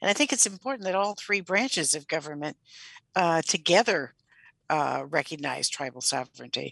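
With a plain, everyday voice, a woman speaks at a moderate pace in a fairly low pitch, her intonation lively and the sound dry and close with no echo. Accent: American. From rural Michigan. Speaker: professor and researcher. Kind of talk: radio interview.

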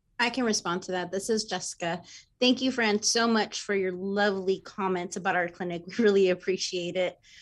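A woman speaks at a fairly quick pace in an ordinary speaking voice, her medium pitch carrying fairly even intonation over a quiet background. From Texas. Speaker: clinic business manager. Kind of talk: radio interview. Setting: video call.

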